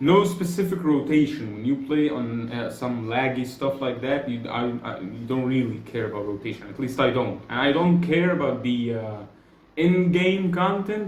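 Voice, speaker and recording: Amid audible room echo, a man with a non-native accent and medium pitch speaks at a moderate pace with lively intonation. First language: Arabic. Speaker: gaming YouTuber. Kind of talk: casual gaming commentary. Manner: halting, many self-corrections.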